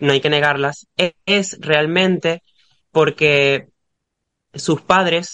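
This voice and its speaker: In a dry, close sound with no echo, a man speaks at a very slow pace with a fairly high pitch and a bright, sharp tone. His loudness is very even, his intonation fairly even, and he leaves long, frequent pauses. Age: 20s. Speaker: podcast guest. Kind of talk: casual chat.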